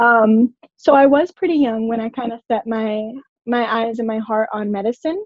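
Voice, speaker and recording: A woman speaks at a moderate pace in a plain, everyday voice, fairly high in pitch with ordinary pitch variation. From Orlando, Florida (born in Puerto Rico). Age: 20s. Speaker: medical student. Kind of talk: casual interview chat.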